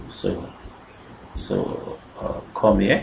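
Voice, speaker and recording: A man's voice carries audible room echo. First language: not French. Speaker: software tutorial creator. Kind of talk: screen-recorded coding tutorial. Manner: halting, with self-corrections and fillers.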